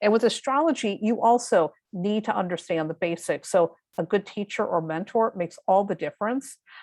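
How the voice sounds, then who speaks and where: A woman's normal speaking voice at a medium pitch, with lively intonation, a moderate pace and hardly any pauses, in a dry, close sound with no echo over a quiet background. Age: 50s. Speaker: tarot reader and astrologer. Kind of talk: interview conversation.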